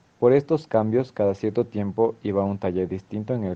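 The man has an ordinary speaking voice. He talks at a fairly quick pace with ordinary pitch variation. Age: 20s. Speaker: dance student. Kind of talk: scripted narration.

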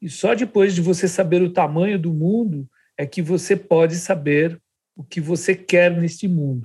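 A man's high-pitched voice at a fairly slow pace, with ordinary pitch variation and big swings in loudness. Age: 60s. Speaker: architect and podcast co-host. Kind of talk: casual interview chat.

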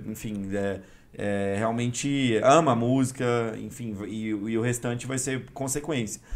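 Amid audible room echo, a man at a medium pitch talks at a very slow pace with hardly any pauses and fairly even intonation. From Brazil, Goiânia (Goiás). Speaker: electronic music DJ. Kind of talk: casual interview chat.

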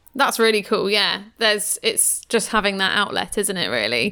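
A woman speaks with an animated, bright, sharp tone. Vocal fry runs through her voice. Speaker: podcast co-host. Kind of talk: casual chat and interview. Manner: animated, laughs often.

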